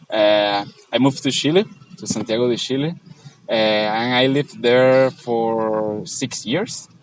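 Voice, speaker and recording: Speaking fairly slowly with a Spanish accent, a man keeps a medium pitch and ordinary pitch variation. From Venezuela. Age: 20s. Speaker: traveller. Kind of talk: casual interview. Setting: outdoors in a park. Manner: halting, many fillers.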